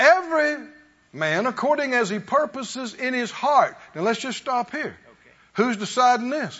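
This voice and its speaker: A man with an extremely high pitch, an animated tone and lively intonation, at a moderate pace. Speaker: preacher. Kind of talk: sermon. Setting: church. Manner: call-and-response.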